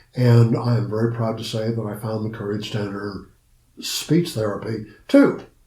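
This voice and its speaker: In an American accent, a man speaks at a moderate pace with a medium pitch, a dark, mellow tone, a somewhat breathy quality and fairly even intonation, with audible room echo. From Ohio. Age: 80s+. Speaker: psychotherapist and social worker. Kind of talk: interview. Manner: halting with repetitions.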